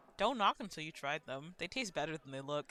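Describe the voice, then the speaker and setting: A rumbling, put-on character voice at a middle pitch moves along at a fairly quick pace. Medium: game stream.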